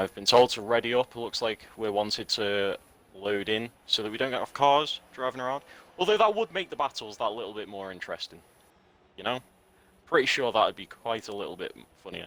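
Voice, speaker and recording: With an English accent, a man speaks fairly quickly at a medium pitch, showing ordinary pitch variation and big swings in loudness. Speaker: esports commentator. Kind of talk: live commentary.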